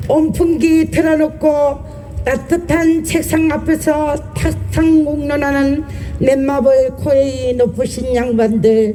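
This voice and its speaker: Very slow speech against noticeable background noise. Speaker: union vice branch chief. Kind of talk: rally speech.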